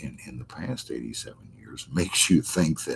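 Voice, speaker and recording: Very deep and low, a man's voice carries vocal fry. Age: 70s. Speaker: astrologer hosting a live stream. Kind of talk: casual live-stream chat. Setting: live stream reading viewer chat. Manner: halting, many repetitions and fillers.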